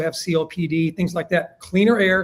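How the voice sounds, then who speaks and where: With a high pitch and fairly even intonation, a man talks at a fairly quick pace. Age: 60s. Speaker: business owner. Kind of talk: interview.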